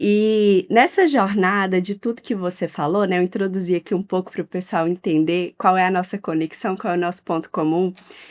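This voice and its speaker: The recording of this medium-pitched woman is very clean, with a silent background and a dry, close sound with no echo. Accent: Minas Gerais. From Minas Gerais, Brazil. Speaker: podcast host. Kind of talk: interview.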